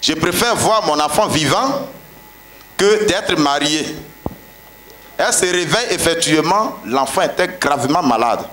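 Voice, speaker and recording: Light background noise and audible room echo surround a man with a high pitch who speaks at a fairly slow pace, with lively intonation, very even loudness and long, frequent pauses. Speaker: pastor. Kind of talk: testimony. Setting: church. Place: tent. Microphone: handheld.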